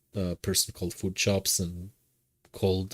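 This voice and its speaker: Speaking with a strong non-native accent, a man uses a very deep, low pitch in a monotone, flat intonation at a moderate pace. The recording is very clean, with a silent background. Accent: heavy foreign. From Israel. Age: 30s. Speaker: streamer. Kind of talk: casual chat. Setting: live stream.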